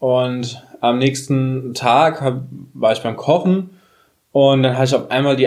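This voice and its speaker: A man's medium-pitched voice, very slow in pace, with fairly even intonation. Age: 30s. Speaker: podcast host. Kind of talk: casual chat.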